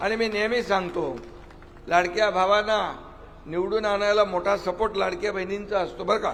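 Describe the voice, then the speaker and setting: Against noticeable background noise, a man speaks with a high pitch and fairly even intonation. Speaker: politician. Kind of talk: political rally speech. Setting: outdoors. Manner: formal, declamatory.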